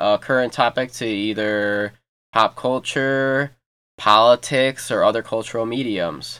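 In a plain, everyday voice with an American accent, a man speaks at a moderate pace and medium pitch with fairly even intonation, in a very clean recording with a silent background. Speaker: podcast host, college student. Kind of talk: casual podcast intro.

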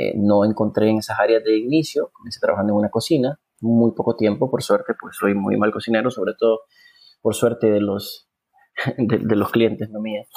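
A man talks at medium pitch with a Honduran accent. His pace is fairly quick and his intonation fairly even. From Honduras. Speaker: film director and producer. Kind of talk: interview.

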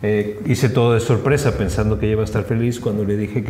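Through audible room echo and noticeable background noise, a man speaks at a very fast pace with ordinary pitch variation. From Mexico. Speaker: hotel director and triathlete. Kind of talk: interview. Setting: hotel venue.

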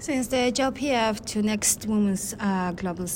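Fairly slow, somewhat breathy speech in a Mongolian accent, with ordinary pitch variation. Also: woman. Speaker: human rights activist. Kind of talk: interview. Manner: halting.

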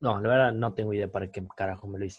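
A man speaks in a somewhat breathy voice. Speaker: podcast co-host. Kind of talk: casual chat.

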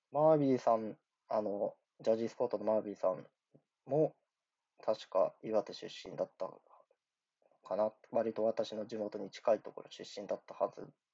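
A man talks at a moderate pace, stopping often for long pauses. His loudness swings widely. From Japan, Iwate. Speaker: podcaster and amateur rapper. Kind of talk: casual solo monologue. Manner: rambling, filler-heavy.

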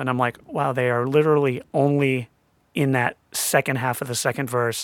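This man has a normal speaking voice at medium pitch. He talks at a moderate pace with fairly even intonation. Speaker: audio mixer, producer. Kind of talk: casual interview.

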